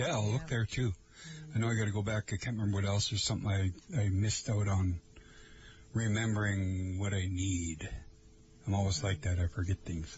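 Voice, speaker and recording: With an American accent, a man with fairly low pitch talks at a fairly quick pace, somewhat breathy, with very even loudness and ordinary pitch variation. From Lake Vermilion area, northern Minnesota. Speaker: radio host. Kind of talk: casual chat. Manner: halting, many fillers.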